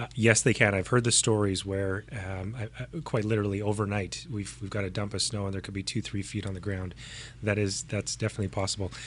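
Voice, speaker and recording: At a very fast pace, a man speaks with a Canadian accent and fairly even intonation. His voice is somewhat breathy. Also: fairly low pitch for a man. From Canadian prairies. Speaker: podcast host. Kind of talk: interview conversation.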